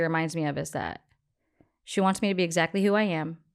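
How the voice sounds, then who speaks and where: A woman with an American accent and a fairly low pitch is captured in a very clean recording against a silent background. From California. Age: 40s. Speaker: chief operating officer. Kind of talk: casual chat. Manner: loud; animated.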